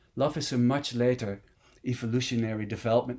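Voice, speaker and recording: A man with a Dutch accent speaks at a fairly quick pace. The recording is very clean, with a silent background. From Netherlands. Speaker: meditation teacher. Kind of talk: dharma talk.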